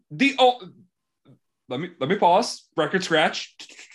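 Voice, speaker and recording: A man with an American accent speaks with lively intonation. He keeps a moderate pace against a quiet background. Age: 20s. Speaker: podcast host. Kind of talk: casual chat. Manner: animated.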